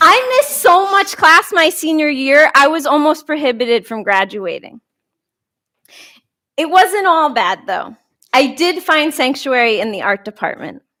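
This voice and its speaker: A high-pitched woman with an American accent, her bright, sharp voice raised and projected, with very wide pitch swings, a fairly slow pace and long, frequent pauses. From New York. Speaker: talk speaker. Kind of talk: public talk.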